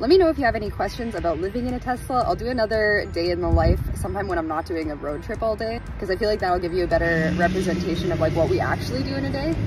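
Over music in the background, a woman talks at a very fast pace, the sound dry with no echo. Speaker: vlogger living in her car. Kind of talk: casual vlog chat. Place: car. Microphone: phone near.

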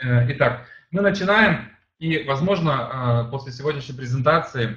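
The man's pitch is fairly high, with ordinary variation. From Germany (moved from Uzbekistan at age 7). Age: 30s. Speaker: sales presenter. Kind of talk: sales pitch. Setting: online presentation. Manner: halting, many fillers.

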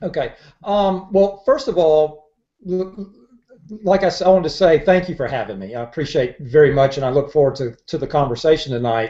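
Over a quiet background, a man talks at a fairly quick pace. His pitch is fairly high and his intonation lively. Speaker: marketing consultant; guest. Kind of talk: interview. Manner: halting. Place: home room. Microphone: earbuds.

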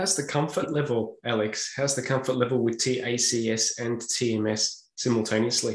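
A man with an Australian accent speaks at a medium pitch, somewhat breathy, with fairly even intonation, very even loudness and hardly any pauses. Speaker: podcast host. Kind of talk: interview. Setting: video call. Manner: halting.

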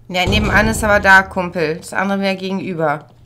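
The woman's voice sits at a medium pitch and has a bright, sharp tone. She talks fast, with ordinary pitch variation.

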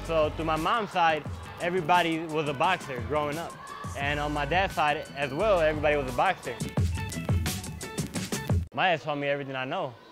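Clear music plays behind a man. He moves at a fairly quick pace with ordinary pitch variation. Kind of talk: interview answer. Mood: warm, proud of his father. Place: gym. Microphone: lapel.

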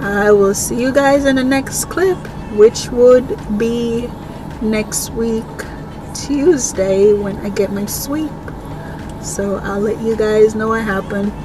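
A woman at a very slow pace with long, frequent pauses and ordinary pitch variation, dry with no echo, over music in the background. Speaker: vlogger. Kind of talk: casual vlog chat. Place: car. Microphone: phone near.

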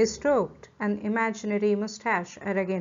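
Plain reading aloud comes through with fairly even intonation.

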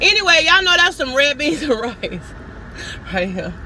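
Light background noise behind a female speaker, the sound dry with no echo. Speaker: vlogger. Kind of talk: casual vlog chat. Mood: cheerful, animated. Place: car. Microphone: phone near.

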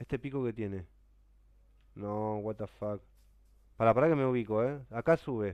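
In a Rioplatense accent, a man speaks at a moderate pace with ordinary pitch variation and long, frequent pauses, the sound dry with no echo and the background quiet. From Argentina. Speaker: gaming streamer. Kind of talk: live stream chat while gaming. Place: home room.

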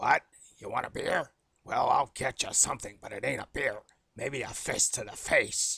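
This is a put-on character voice with an extremely high pitch. It sounds raspy and moves at a moderate pace. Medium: voice reel. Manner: gruff, aggressive.

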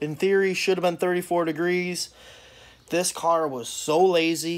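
A man talks at a moderate pace in a fairly high pitch.

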